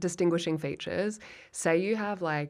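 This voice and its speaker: The background is completely silent in this very clean recording. A woman's delivery is moderately paced. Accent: Australian. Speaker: comedian. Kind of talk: casual chat. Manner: animated.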